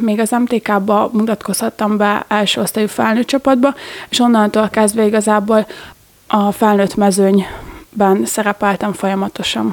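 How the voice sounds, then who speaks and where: A woman's fairly high voice at a fairly slow pace, with fairly even intonation, very even loudness and noticeable background noise. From Hungary, Gödöllő. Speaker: handball player. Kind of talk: interview.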